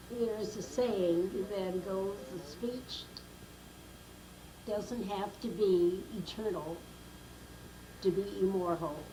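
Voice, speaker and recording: In an American accent, a woman speaks at a very slow pace with fairly even intonation and long, frequent pauses, over noticeable background noise and audible room echo. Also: medium pitch for a woman. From Brooklyn, New York. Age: 90s. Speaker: grandmother telling life story. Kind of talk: oral history interview.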